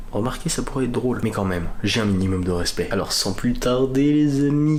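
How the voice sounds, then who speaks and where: Audible room echo and clear background noise around a man's speech. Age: young. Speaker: vlogger. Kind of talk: vlog. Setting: at home at night. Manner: animated; soft-spoken.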